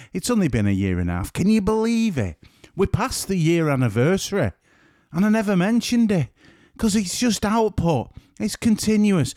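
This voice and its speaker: Recorded dry and close with no echo, a man with a northern English accent speaks at a high pitch in a dark, mellow tone with lively intonation. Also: moderate pace. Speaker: podcast host and photographer. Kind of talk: solo podcast monologue; casual interview chat. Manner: voice sounds quiet.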